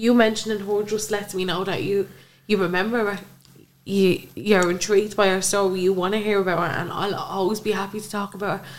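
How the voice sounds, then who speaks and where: A woman at medium pitch with an Irish accent, fairly quick and monotone, over noticeable background noise. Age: 20s. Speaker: bereaved mother. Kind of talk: interview, personal testimony.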